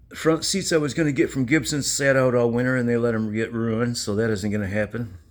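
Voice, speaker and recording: Amid audible room echo, a man with a medium pitch and ordinary pitch variation talks at a very fast pace with hardly any pauses. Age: 60s. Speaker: classic car hobbyist vlogger. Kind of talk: casual garage walkaround vlog. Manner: rambling, halting.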